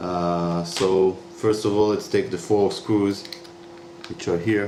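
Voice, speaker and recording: At a very slow pace, a man talks with lively intonation and a fairly low pitch. Room echo and background noise are both noticeable. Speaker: YouTuber demonstrating a repair. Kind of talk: tutorial. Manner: halting, many fillers.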